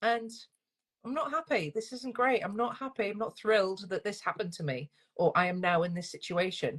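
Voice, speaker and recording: With a Northern English accent, a woman talks at a fairly quick pace and medium pitch, her intonation lively. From northern England. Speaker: single-parent coach. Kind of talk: interview. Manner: fast.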